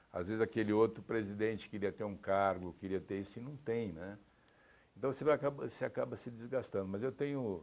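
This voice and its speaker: With an unremarkable speaking voice, a man talks at a fairly low pitch and a fairly quick pace, showing ordinary pitch variation on a very clean recording with a silent background. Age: 60s. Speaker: sports executive. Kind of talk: interview. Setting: TV studio.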